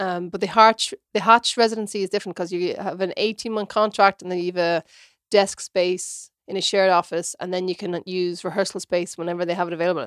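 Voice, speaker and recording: At a fairly quick pace, a woman speaks at medium pitch with monotone, flat intonation, in a dry, close sound with no echo. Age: 30s. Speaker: theatre director and performer. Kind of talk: casual chat.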